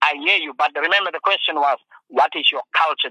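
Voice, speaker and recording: A man speaks at a very fast pace in a dry, close recording with no echo. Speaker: Khoi chief and land occupier. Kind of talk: heated interview. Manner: halting, hesitant.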